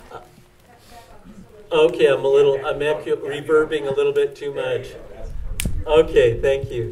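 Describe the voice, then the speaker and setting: Male speech with audible echo from the room and noticeable background noise. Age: 60s. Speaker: climate activist. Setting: outdoors. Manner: halting.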